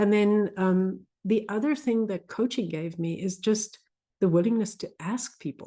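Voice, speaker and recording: A woman with a South African accent speaks at a fairly slow pace in a medium-pitched voice with a dark, mellow tone and ordinary pitch variation, over a quiet background. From South Africa, Afrikaans culture. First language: Afrikaans. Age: 50s. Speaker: physician coach. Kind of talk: casual interview conversation.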